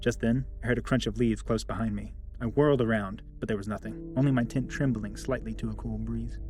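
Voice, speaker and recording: A man at a fairly quick pace with hardly any pauses, and music in the background. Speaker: horror story narrator. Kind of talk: horror story narration.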